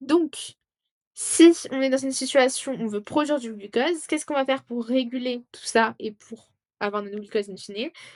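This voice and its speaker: A woman's high-pitched, animated voice with ordinary pitch variation, dry and close with no echo, over a quiet background. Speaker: student tutor. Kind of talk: tutorial.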